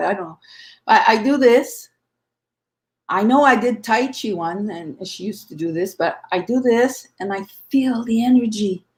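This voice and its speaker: A woman's somewhat breathy voice with lively intonation at a moderate pace, in a very clean recording with a silent background. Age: 60s. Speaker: conference speaker, medium. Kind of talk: panel discussion.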